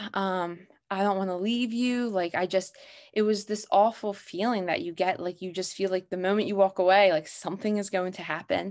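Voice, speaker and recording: A plain, everyday voice with an American accent moves at a moderate pace with fairly even intonation. The recording is very clean, with a silent background. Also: woman, medium pitch for a woman. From Pennsylvania, US. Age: 20s. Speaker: podcast guest sharing grief story. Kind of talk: personal testimony.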